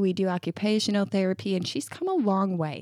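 An ordinary speaking voice, a woman's at medium pitch, moves at a fairly quick pace in an American accent, with a dry, close sound and no echo. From upstate New York. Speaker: podcast co-host, mother. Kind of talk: casual chat.

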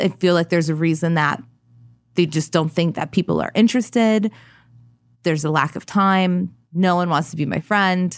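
A normal speaking voice with an American accent, moderate in pace and ordinary in pitch variation, on a very clean recording with a silent background. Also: woman, fairly low pitch for a woman. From US Midwest. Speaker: fashion stylist. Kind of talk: interview.

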